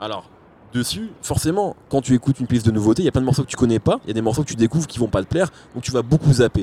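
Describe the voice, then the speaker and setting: Speaking at a very fast pace, a man has a dark, mellow tone that is somewhat breathy, with lively intonation. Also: medium pitch for a man, dry, close sound with no echo. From France, arrived from Algeria age 4. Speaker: rap journalist. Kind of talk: casual chat.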